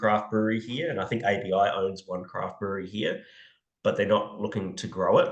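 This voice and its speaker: In an Australian accent, a man with a fairly low pitch speaks at a moderate pace with audible room echo. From Australia (Brisbane). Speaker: podcast co-host, beer industry consultant. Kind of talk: casual chat. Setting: remote call, speaker in Cape Town. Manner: casual, many fillers and restarts.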